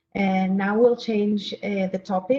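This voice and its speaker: A woman with a non-native accent at a fairly slow pace, with fairly even intonation. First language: not English. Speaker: surgeon, professor of anatomy. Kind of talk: conference talk. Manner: halting.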